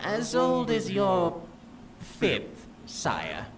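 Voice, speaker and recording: A man adopts a put-on character voice while clear background noise is present. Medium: video game. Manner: formal, deferential.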